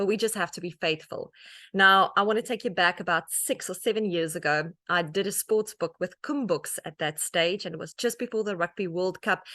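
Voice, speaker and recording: A woman with a South African accent at a medium pitch, fairly quick pace and ordinary pitch variation, bright, sharp tone, dry, close sound with no echo over a quiet background. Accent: Afrikaans South African English. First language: Afrikaans. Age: 40s. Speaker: author and media personality. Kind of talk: talk to an audience.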